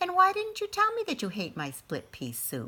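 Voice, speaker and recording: Putting on a squeaky character voice at an extremely high pitch, a woman talks at a moderate pace. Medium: read story.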